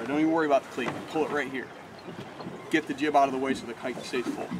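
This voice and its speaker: A man is speaking. Loud background noise runs throughout. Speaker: sailing instructor. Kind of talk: outdoor demonstration talk. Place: boat.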